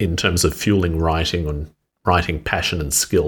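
At a moderate pace, a man with a very deep, low pitch speaks in a somewhat breathy voice and fairly even intonation, on a very clean recording with a silent background. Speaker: interviewer podcast host. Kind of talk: interview conversation.

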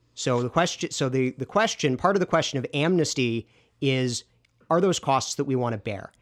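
A man with an unremarkable speaking voice talks at a medium pitch and a fairly quick pace. The sound is dry and close, with no echo. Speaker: research analyst and podcast co-host. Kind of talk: heated debate. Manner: interrupting, rapid-fire.

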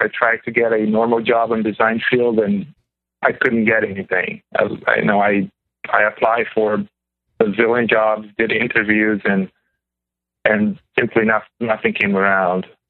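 A man's plain, everyday voice, medium in pitch, at a fairly slow pace. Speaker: caller, graphic designer. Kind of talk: casual chat. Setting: phone call.

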